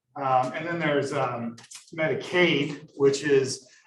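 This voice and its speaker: A man with an American accent at a very slow pace, ordinary pitch variation and audible room echo. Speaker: economics lecturer. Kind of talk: lecture. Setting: classroom with Zoom attendees.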